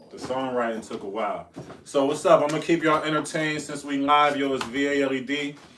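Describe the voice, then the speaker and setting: Over noticeable background noise and audible room echo, a man talks at a very fast pace with a fairly high pitch. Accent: American. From US Northeast, Buffalo, New York. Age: 30s. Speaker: rapper and barber. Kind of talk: podcast interview. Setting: live-streamed podcast studio. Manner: animated.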